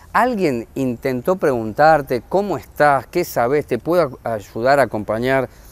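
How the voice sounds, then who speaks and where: A man with a normal speaking voice and medium pitch talks at a fairly slow pace. His intonation is lively, and he hardly pauses. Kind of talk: interview.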